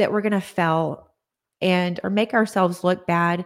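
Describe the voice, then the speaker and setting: A woman speaks at medium pitch with monotone, flat intonation. The recording is very clean, with a silent background. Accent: Texan. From Texas, Odessa. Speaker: holistic nutritionist. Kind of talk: interview. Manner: halting.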